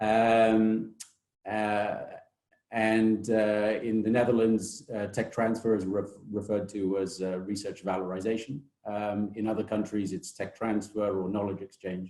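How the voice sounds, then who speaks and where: A man with a British accent speaks at a fairly slow pace and fairly low pitch. His dark, mellow voice stays in a flat monotone. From Britain. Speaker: technology transfer office director. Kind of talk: webinar presentation. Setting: online webinar. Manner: hesitant, many fillers.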